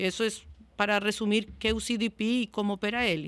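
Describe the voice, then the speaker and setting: With a Spanish accent, a woman talks at a moderate pace and a fairly high pitch, her intonation flat and monotone on a very clean recording with a silent background. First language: Spanish (speaking Portuguese). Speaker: customer success manager. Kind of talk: podcast interview. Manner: halting.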